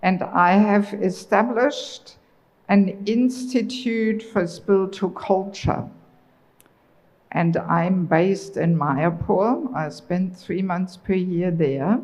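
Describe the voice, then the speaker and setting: Very slowly and somewhat breathily, a woman with a German accent speaks at a medium pitch with ordinary pitch variation, her voice echoing audibly in the room. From Germany. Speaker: traveling preacher. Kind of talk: religious lecture.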